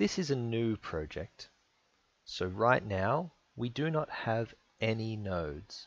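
A man's medium-pitched voice, very slow in pace, with lively intonation. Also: quiet background. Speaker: engineering software instructor. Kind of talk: tutorial. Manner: clear simple phrasing.

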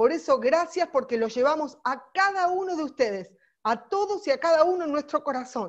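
In a quiet setting, a woman talks at a moderate pace with an animated tone and lively intonation. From Argentina. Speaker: political volunteer trainer; course trainer. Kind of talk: training lecture; online lecture. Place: home room. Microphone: earbuds.

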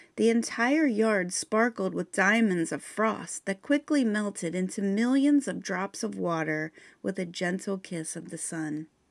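Speaking at a fairly slow pace with lively intonation, a woman has an unremarkable speaking voice and a medium pitch. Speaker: audiobook narrator. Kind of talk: literary audiobook reading, first-person historical fiction narration. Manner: measured, expressive storytelling with a somber, reflective tone.

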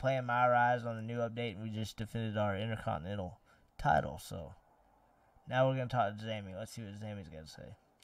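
A man's plain, everyday voice, medium in pitch, at a fairly quick pace, with ordinary pitch variation, big swings in loudness, and a dry sound with no echo. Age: 20s. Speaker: gaming streamer. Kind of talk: live gameplay stream chat. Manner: casual, laid-back. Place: home room.

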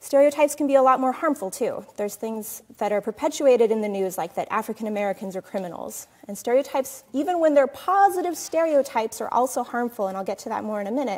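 Very fast and with hardly any pauses, a woman races through her words. Her pitch is high. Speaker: presenter. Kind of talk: lecture. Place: hall.

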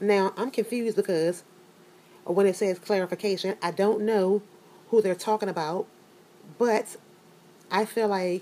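A woman speaks at a moderate pace in a dark, mellow tone with fairly even intonation. She takes long, frequent pauses. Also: medium pitch for a woman. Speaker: youtube commentator. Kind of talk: casual, conversational.

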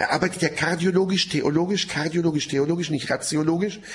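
A man speaks in a high pitch at a fairly quick pace. Light background noise sits behind him. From Middle East (Israel). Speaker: Bible teacher, seminar lecturer. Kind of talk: lecture. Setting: seminar room with audience, broadcast on radio. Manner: animated. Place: studio.

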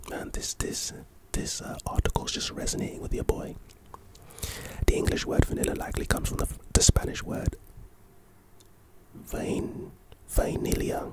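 Whispering and soft-spoken, a man talks at a moderate pace with long, frequent pauses, the sound dry with no echo against loud background noise. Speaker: content creator. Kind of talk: reading an article aloud with casual commentary. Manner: soft close-mic ASMR whisper. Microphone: studio mic.

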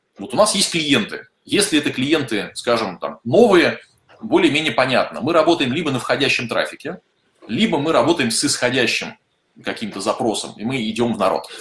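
The pitch swings very widely. Room echo is audible. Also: man, fairly high pitch for a man. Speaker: software company office head. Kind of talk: webinar. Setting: online broadcast. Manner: fast talker. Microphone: earbuds.

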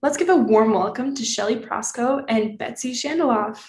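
Somewhat breathy, a woman talks at a moderate pace with audible room echo. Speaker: session host. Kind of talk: event introduction. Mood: warm, welcoming. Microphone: video call.

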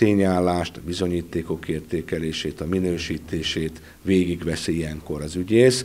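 A man with a very deep, low pitch, ordinary pitch variation and a moderate pace with hardly any pauses. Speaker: prosecutor. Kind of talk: news interview. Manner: formal. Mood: serious, formal. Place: office. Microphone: handheld.

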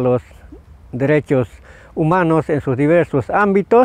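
At a moderate pace, a man with a fairly high pitch speaks in a dry sound with no echo. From Bolivia, Tarija department; Bolivia. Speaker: farmer and nature defender. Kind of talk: testimony statement to camera. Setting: at the UN headquarters in Geneva. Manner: halting, with frequent fillers. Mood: earnest, concerned. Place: garden. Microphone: lapel.

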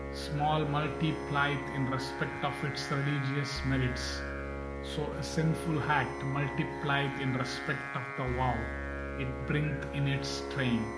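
A man speaking at a very slow pace, with music in the background. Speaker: narrator. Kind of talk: scripture reading narration.

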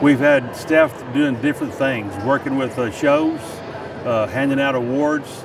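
A man talks at a moderate pace. There is noticeable noise in the background. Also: dry sound with no echo. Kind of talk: interview answer. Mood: proud, warm. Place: hall.

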